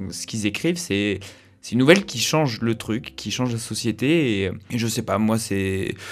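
A man with lively intonation. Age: 20s. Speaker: journalism student. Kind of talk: casual chat. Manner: hesitant, many fillers.

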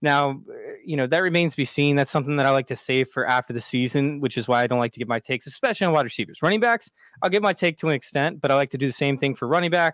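Recorded very cleanly against a silent background, with a dry, close sound and no echo, a man speaks at a very fast pace with a fairly high pitch and ordinary pitch variation. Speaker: fantasy football podcaster guest. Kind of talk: casual podcast discussion.

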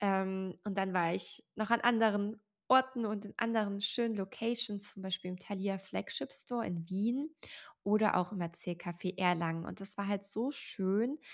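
A woman speaks at a moderate pace with a medium pitch and ordinary pitch variation, in a very clean recording with a silent background. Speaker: podcast host and author. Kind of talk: solo podcast monologue.

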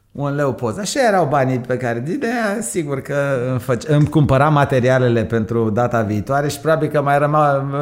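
A man talks at a fairly quick pace and fairly high pitch, with ordinary pitch variation. Background noise is noticeable. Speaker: entrepreneur. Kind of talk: interview.

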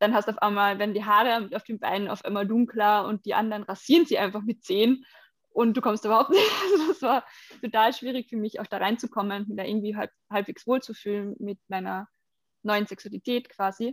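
Recorded very cleanly with a silent background and a dry, close sound with no echo, a woman with an ordinary speaking voice talks at a fairly quick pace with fairly even intonation. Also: fairly high pitch for a woman. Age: 20s. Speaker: body painting model and activist. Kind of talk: interview.

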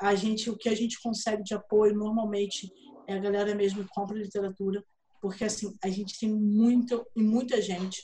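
A somewhat breathy, dark, mellow voice with a Rio de Janeiro accent, monotone, flat intonation and a moderate pace. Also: woman. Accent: Carioca Brazilian Portuguese. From Brazil, Rio de Janeiro. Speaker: writer and fan event organizer. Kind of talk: casual interview chat.

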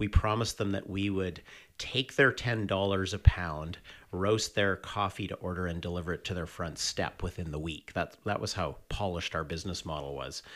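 A man with a Canadian accent has a very deep, low pitch. He talks at a moderate pace with ordinary pitch variation. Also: very clean recording, silent background. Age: 50s. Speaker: coffee company co-founder. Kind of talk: interview. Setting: in-person conversation.

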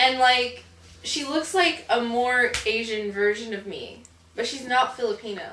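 Amid audible room echo and noticeable background noise, a woman with an American accent speaks at a fairly slow pace in a high pitch. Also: ordinary pitch variation. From northern US. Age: 20s. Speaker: adult actress. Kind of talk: casual interview. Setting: on a film set.

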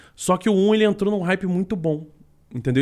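A man with lively intonation. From Niterói, Rio de Janeiro state, Brazil. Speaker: esports and game commentator. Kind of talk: casual chat.

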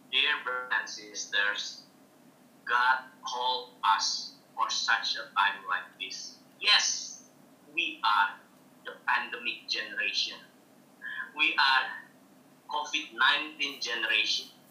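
Long, frequent pauses break up a man's very slow speech, which carries audible room echo. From Indonesia. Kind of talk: testimony.

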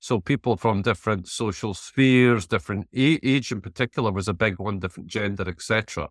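In a Scottish Borders accent, a man speaks at a fairly low pitch with ordinary pitch variation, in a dry, close sound with no echo and a very clean recording with a silent background. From Scotland, Scottish Borders (Selkirk). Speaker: entrepreneur and business network chair. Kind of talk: interview.

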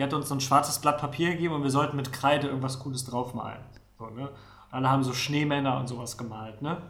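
A man with fairly high pitch and fairly even intonation at a very fast pace, with audible room echo and noticeable background noise. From Mecklenburg-Vorpommern, Neustrelitz. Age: 30s. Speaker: podcast co-host. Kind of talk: casual chat.

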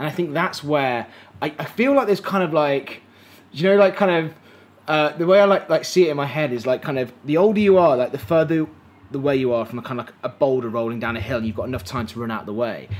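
Over background music, a man with an English accent talks very fast, his pitch fairly high. His intonation is lively. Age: 30s. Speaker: podcast host and filmmaker. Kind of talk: casual chat. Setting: live stream conversation. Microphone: poor audio quality in early episode.

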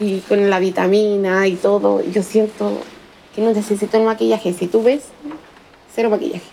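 In a Chilean accent, a woman of medium pitch talks at a moderate pace with fairly even intonation and long, frequent pauses, against noticeable background noise. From Chile, Valparaíso. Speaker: single mother, fortune teller. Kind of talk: interview testimony.

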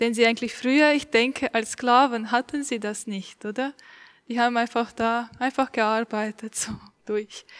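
A woman's monotone, flat delivery at a moderate pace, in a very clean recording with a silent background and a dry, close sound with no echo. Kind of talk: casual chat.

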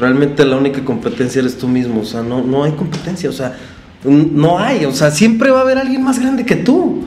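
A man at a fairly high pitch with very wide pitch swings and a fairly quick pace, amid noticeable background noise and audible room echo. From Mexico, Guadalajara. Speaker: florist and business owner. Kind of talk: interview conversation. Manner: hesitant, many fillers.

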